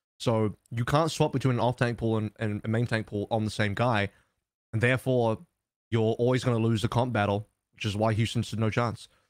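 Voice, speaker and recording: A man with a plain, everyday voice, medium in pitch, at a fairly quick pace with fairly even intonation, in a very clean recording with a silent background and a dry, close sound free of echo. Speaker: esports podcast host. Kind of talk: casual chat podcast.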